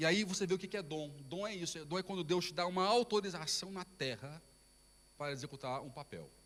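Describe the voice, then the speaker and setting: The man's voice sits at a high pitch. His pitch variation is ordinary. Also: fairly quick pace. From Brazil. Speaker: pastor. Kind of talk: sermon. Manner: halting.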